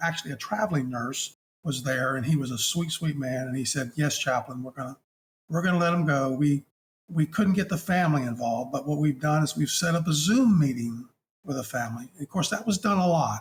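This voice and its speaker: A man is speaking. His voice is somewhat breathy and fairly high in pitch. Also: ordinary pitch variation, fairly quick pace. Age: 60s. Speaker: hospice chaplain. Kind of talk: interview storytelling. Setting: podcast interview. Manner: halting.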